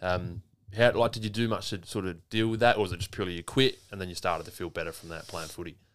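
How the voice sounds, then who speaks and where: A man's fairly low voice at a very fast pace, with big swings in loudness and ordinary pitch variation. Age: 30s. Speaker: podcast host. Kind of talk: casual chat.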